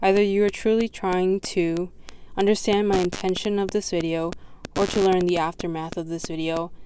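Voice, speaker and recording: At a moderate pace, a woman speaks in a monotone, flat intonation at a medium pitch. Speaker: video essayist. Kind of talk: reading aloud own essay and poems. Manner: halting, self-correcting.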